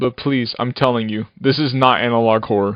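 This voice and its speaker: Talking at a fairly quick pace, a man with medium pitch uses a normal speaking voice. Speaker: animator and YouTube creator. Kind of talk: retrospective narration. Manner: casual.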